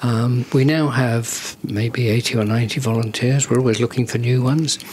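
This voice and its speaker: With a southern English accent, a man speaks at a moderate pace in a medium pitch, his delivery monotone and flat and his loudness very even, over noticeable background noise. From southern England, Guildford, Surrey. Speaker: charity founder, retired marketing executive. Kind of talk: podcast interview. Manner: hesitant, many ums.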